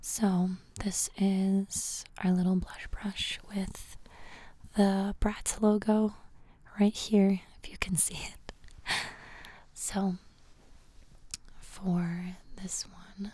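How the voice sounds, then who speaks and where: Soft-spoken and somewhat breathy, a woman with a dark, mellow tone speaks at a very slow pace in a flat monotone, with long, frequent pauses, big swings in loudness, and a dry sound with no echo. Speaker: ASMR creator. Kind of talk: ASMR guided grounding exercise. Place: home room. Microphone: studio mic.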